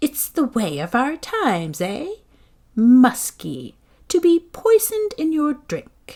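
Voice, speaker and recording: A put-on character voice at a fairly slow pace, full of very wide pitch swings. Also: woman, high pitch for a woman. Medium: read story. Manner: commanding, imperious.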